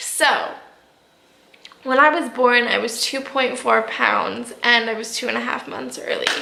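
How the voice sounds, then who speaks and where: A woman is speaking. Noticeable background noise and audible room echo accompany her voice. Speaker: vlogger sharing personal health story. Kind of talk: personal vlog. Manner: casual, repetitive with fillers.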